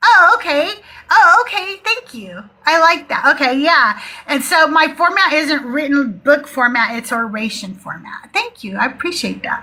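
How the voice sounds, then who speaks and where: In a raised, projected voice with an animated tone, the speaker moves at a moderate pace through very wide pitch swings and big swings in loudness. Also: woman, high pitch for a woman. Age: 60s. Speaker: atheist call-in show host. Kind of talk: live call-in chat. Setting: live stream.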